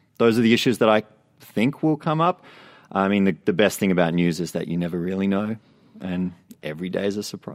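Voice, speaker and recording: A man with an Australian accent talks at a fairly quick pace with long, frequent pauses, using a fairly low pitch and ordinary pitch variation. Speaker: TV news assignment editor. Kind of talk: casual interview chat. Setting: studio.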